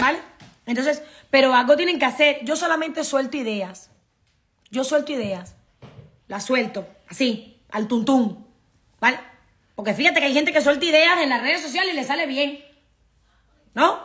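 A woman speaks at a moderate pace with a high pitch and lively intonation. Her speech has long, frequent pauses. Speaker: immigration consultancy director. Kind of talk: live stream talk to viewers. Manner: casual, with many fillers. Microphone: phone near.

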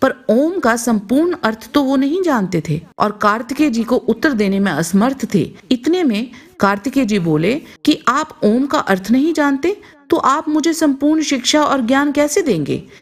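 A high-pitched woman with a Punjabi accent, very wide pitch swings and very even loudness. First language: Punjabi (speaking Hindi). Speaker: channel narrator. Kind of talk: scripted narration.

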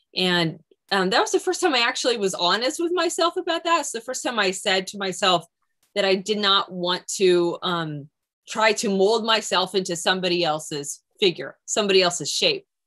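Against a quiet background, a woman with a bright, sharp tone speaks at a moderate pace with very wide pitch swings. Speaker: creative director of an art-science society. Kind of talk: panel discussion. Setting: video call. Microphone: video call.

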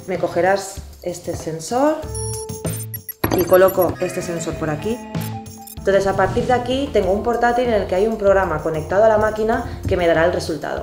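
Clear music plays in the background as a woman talks at a fairly quick pace with long, frequent pauses and ordinary pitch variation. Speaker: nutritionist. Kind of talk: educational TV show presenter talking to camera. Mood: friendly, explanatory. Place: office. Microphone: lapel.

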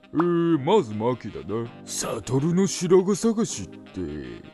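A man's put-on character voice, fairly high in pitch and fairly slow, with clear music in the background. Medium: dub. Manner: casual, laid-back.

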